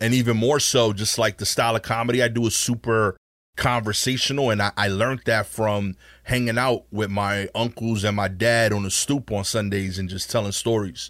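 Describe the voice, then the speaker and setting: On a very clean recording with a silent background, a man with an American accent and a normal speaking voice talks at a moderate pace, his fairly low pitch held in fairly even intonation. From Brooklyn, New York. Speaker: stand-up comedian. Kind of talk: casual interview chat with storytelling.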